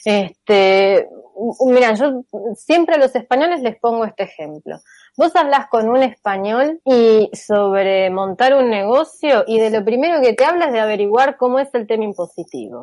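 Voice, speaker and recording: A woman's fairly high voice in an Argentine accent, fairly slow, with lively intonation, a quiet background and a dry, close sound with no echo. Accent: Rioplatense Argentine Spanish. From Argentina. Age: 40s. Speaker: theoretical computer scientist and author. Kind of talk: interview.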